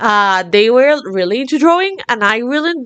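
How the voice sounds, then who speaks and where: A woman with a Latin American accent talks at a moderate pace, her pitch swinging very widely. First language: Spanish. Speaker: art hobbyist vlogger. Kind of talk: casual monologue. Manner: energetic, animated.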